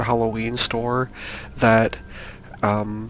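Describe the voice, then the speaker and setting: A soft-spoken man talks in a monotone, flat intonation over noticeable background noise. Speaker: YouTuber pitching game concepts. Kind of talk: casual monologue. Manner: halting, many fillers.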